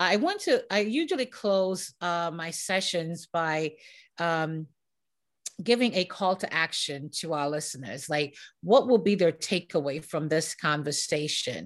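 In an ordinary speaking voice, a woman talks at a fairly slow pace, her pitch fairly low with ordinary variation. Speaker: podcast host. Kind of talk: casual interview chat.

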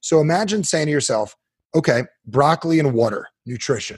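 Fairly high in pitch, a man speaks with an American accent. His delivery is fairly quick, with lively intonation. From New Jersey. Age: 40s. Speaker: self-help author. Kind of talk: interview guest, coaching talk. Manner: animated.

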